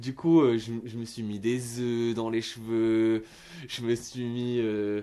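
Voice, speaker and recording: A man's dark, mellow voice at medium pitch against a quiet background. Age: 30s. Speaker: singer and musician. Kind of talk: radio testimony. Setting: radio studio. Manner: halting, many repetitions and fillers.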